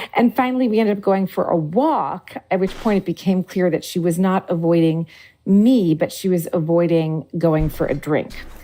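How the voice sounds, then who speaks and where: The tone is dark and mellow, with lively intonation. The pace is moderate. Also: woman. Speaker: journalist. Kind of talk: interview. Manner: conversational.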